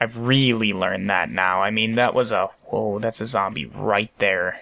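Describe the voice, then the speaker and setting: In a fairly low pitch with vocal fry and a bright, sharp tone, a man talks at a fairly slow pace with fairly even intonation and very even loudness. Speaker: gaming video creator. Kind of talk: gameplay commentary. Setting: at home late at night. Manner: slow-paced.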